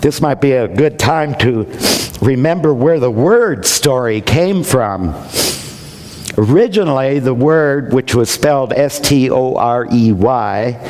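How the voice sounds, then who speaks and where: Through noticeable background noise, a man of medium pitch speaks at a fairly slow pace, his intonation lively and his loudness very even. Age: 60s. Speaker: minister. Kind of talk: sermon.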